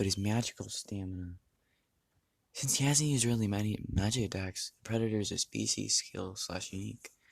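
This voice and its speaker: Somewhat breathy, a man talks at a fairly low pitch. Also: ordinary pitch variation. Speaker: youtuber. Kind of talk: casual chat. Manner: halting.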